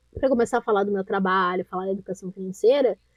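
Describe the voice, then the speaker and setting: In a dry, close sound with no echo, a woman with a dark, mellow tone talks at a very fast pace. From southern Brazil. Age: 20s. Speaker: entrepreneur and personal finance educator. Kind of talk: podcast interview.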